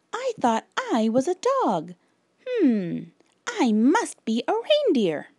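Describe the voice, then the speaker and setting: Putting on a character voice, a woman speaks in a high pitch at a fairly slow pace, leaving long, frequent pauses. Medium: read story.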